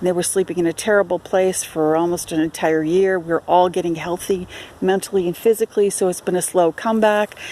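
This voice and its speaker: A woman at a medium pitch keeps her intonation fairly even and her pace moderate. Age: 60s. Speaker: self-promoting writer and photographer. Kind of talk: video self-introduction. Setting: outdoors at a campground. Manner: hesitant, many fillers.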